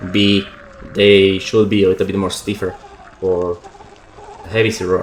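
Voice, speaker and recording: Noticeable background noise accompanies a man with a non-native accent. His intonation is monotone and flat. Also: fairly low pitch for a man, moderate pace. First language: not English. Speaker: motorbike YouTuber. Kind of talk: voiceover commentary. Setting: at home. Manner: halting.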